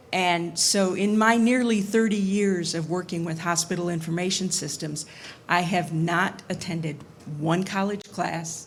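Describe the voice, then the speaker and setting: Somewhat breathy and fairly low in pitch, a woman speaks at a fairly slow pace with fairly even intonation amid audible room echo. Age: 60s. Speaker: audience member, hospital information security worker. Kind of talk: audience comment at panel Q&A.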